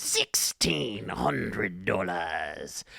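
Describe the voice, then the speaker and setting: A raspy, very deep put-on character voice delivers its lines in a Scottish accent. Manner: creepy, eerie.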